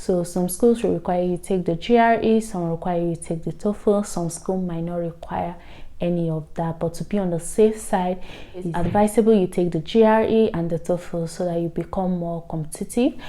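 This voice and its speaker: With a Nigerian accent, a woman speaks at a moderate pace in a dark, mellow tone, fairly low pitch and fairly even intonation. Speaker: vlogger, international student. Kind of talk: informational vlog.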